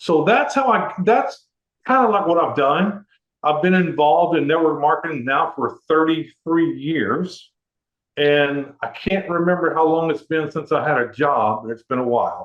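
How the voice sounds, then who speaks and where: Lively intonation at a fairly slow pace, with an American accent. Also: man, fairly high pitch for a man. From Texas, Houston. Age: 60s. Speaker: network marketer. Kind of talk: interview testimony. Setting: conference call.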